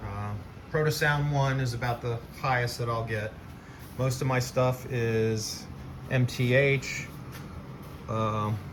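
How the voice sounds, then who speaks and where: Audible room echo surrounds a man speaking at medium pitch, very slowly, in a relaxed tone with fairly even intonation and long, frequent pauses. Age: 60s. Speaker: model train hobbyist, video creator. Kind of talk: casual show-and-tell video. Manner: relaxed, with many filler words.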